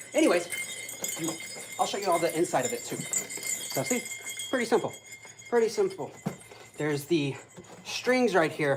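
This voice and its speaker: Noticeable background noise sits behind a man speaking at a moderate pace with an American accent. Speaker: kung fu instructor. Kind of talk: live online class. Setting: live stream. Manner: animated.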